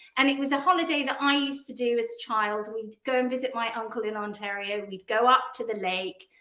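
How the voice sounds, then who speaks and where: Bright, sharp tone in a British accent, fairly quick pace with hardly any pauses and ordinary pitch variation. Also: woman, high pitch for a woman. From England. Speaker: PR agency founder. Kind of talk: podcast interview.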